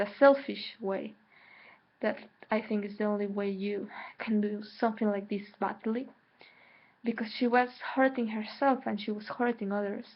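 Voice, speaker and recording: Fairly even intonation in a Mexican accent, with long, frequent pauses. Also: woman, fairly high pitch for a woman, moderate pace. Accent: Mexican Spanish accent in English, self-noted. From Mexico. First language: Spanish. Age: 20s. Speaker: spiritual vlogger. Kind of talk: personal vlog monologue. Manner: hesitant, with repetitions.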